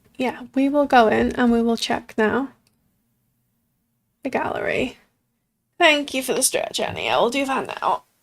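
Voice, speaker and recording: A woman with a high pitch speaks at a moderate pace in fairly even intonation, leaving long, frequent pauses. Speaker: sims game streamer. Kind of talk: live stream commentary. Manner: flat.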